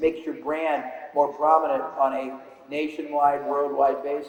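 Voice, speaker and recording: Audible room echo surrounds a man speaking at fairly high pitch and a moderate pace. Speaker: business speaker. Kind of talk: seminar lecture.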